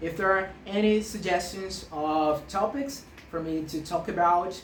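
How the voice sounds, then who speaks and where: Her fairly slow speech has ordinary pitch variation, with audible room echo and noticeable background noise around the woman. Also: medium pitch for a woman. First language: Portuguese. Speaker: maths teacher. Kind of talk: tutorial. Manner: halting, frequent self-corrections.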